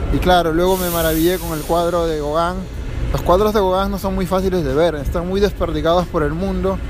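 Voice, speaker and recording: Through audible room echo and noticeable background noise, a man with a high pitch talks at a fairly quick pace in a flat monotone. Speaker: vlogger. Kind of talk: casual monologue. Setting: outdoors.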